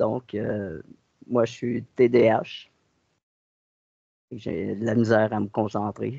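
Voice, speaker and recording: A man with a Quebec accent speaks at a very slow pace, his fairly low pitch carrying a dark, mellow tone. His intonation stays fairly even, broken by long, frequent pauses. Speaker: hypnosis client. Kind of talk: personal account. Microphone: connection dropouts.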